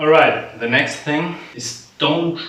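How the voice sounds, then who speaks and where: A man with an Austrian accent at a fairly slow pace, amid noticeable background noise and audible room echo. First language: German. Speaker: vlogger and musician. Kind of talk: casual vlog monologue. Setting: home apartment. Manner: casual, filler-heavy, swearing-laced.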